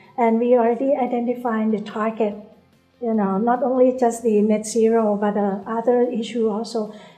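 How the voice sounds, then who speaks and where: A soft-spoken woman's fairly high voice in a monotone, flat delivery, with music in the background. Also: moderate pace. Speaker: bank CEO. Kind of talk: interview answer.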